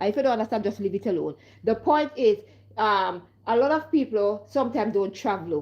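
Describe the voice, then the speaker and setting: With a Jamaican accent and a fairly high pitch, a woman speaks in an animated tone with lively intonation over a quiet background. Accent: Caribbean (Jamaican-style patois) English. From Caribbean. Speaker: vlogger. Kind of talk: casual monologue vlog.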